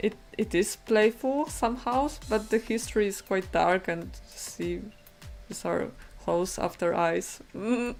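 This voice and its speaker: A woman with a non-native accent speaks at a fairly slow pace. Music plays behind her. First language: not English. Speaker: digital painting streamer. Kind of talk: live stream painting chat. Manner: halting. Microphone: bad microphone.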